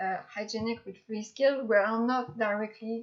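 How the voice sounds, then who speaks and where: Talking at a fairly slow pace, a woman with a slight French accent has a fairly high pitch. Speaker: graduate student researcher. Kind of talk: lecture. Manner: halting, with fillers.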